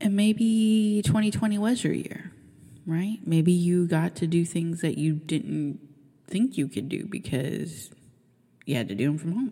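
At a fairly slow pace, a woman with a fairly low pitch speaks in a dark, mellow, somewhat breathy tone with lively intonation. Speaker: podcast host. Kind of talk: casual monologue.

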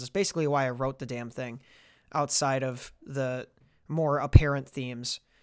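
A man speaks with fairly high pitch and ordinary pitch variation. The recording is very clean, with a silent background. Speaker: rapper and podcast host. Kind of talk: casual chat.

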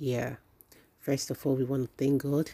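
A woman speaks very slowly in a very deep, low voice with flat, monotone intonation. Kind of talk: motivational devotion, warm faith-filled sermon-style address. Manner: earnest and personal, direct address to listeners.

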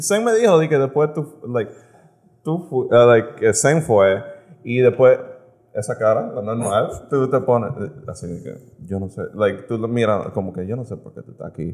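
A man's medium-pitched voice with lively intonation and big swings in loudness. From United States. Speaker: podcast guest. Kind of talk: casual chat. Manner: slow; halting.

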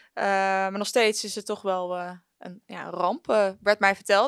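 A woman speaks at a medium pitch. The recording is very clean with a silent background, and the sound is dry and close with no echo. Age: 20s. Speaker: regional news editor. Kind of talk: interview. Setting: studio with camera. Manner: halting.

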